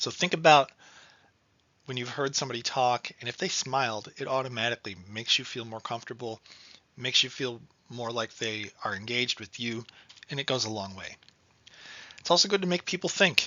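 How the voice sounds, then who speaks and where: A man talks at a fairly quick pace in a medium pitch with ordinary variation, big swings in loudness and long, frequent pauses. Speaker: financial education trainer. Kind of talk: training presentation. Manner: fast.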